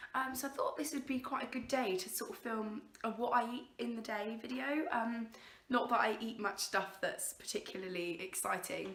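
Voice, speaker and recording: A woman with an English accent talks at a fairly high pitch. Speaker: lifestyle vlogger. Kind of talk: casual vlog. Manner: hesitant, many fillers.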